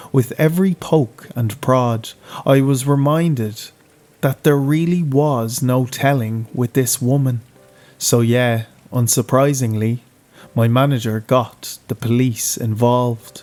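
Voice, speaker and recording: A man with an Irish accent at a medium pitch, fairly slow and fairly even in intonation, with music in the background. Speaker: horror narrator. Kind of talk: horror story narration.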